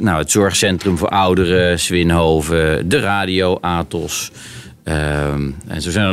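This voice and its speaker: Amid noticeable background noise, a man speaks very slowly at a very deep, low pitch with ordinary pitch variation. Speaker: mayor hosting podcast. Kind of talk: casual interview. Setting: community centre.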